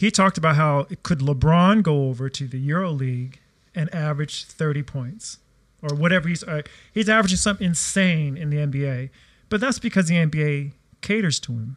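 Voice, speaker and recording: Somewhat breathy, a man speaks at a fairly quick pace in a fairly high pitch with ordinary pitch variation. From US, raised on military bases and in Hawaii. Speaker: former pro basketball player and referee. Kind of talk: casual chat.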